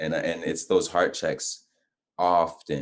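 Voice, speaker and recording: A man's fairly slow delivery. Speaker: guest on faith and lifestyle talk show. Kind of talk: casual interview chat.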